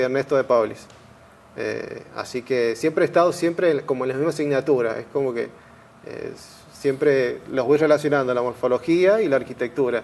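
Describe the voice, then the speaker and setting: A man talks with ordinary pitch variation. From San Rafael, Mendoza, Argentina. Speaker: architect and university teaching assistant. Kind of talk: interview. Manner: halting, repeated words.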